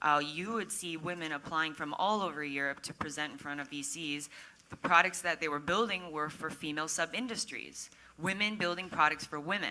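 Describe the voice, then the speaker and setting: Against noticeable background noise, a woman with an American accent speaks at a fairly quick pace in a very deep, low pitch with ordinary pitch variation. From Minnesota, US Midwest. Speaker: tech startup community organizer. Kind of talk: panel discussion. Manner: animated.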